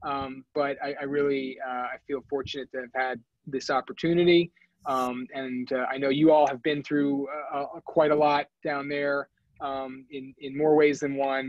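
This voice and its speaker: In an American accent, a man with fairly high pitch talks in a monotone, flat intonation. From New York. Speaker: physician and wellness officer. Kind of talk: Q&A after a grand rounds lecture. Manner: fast.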